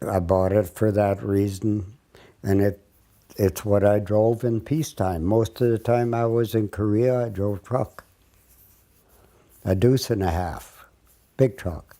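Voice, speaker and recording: A man's fairly low, dark and mellow voice, fairly slow in pace with fairly even intonation. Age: 80s+. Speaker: Korean War veteran. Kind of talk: casual reminiscing interview. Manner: halting.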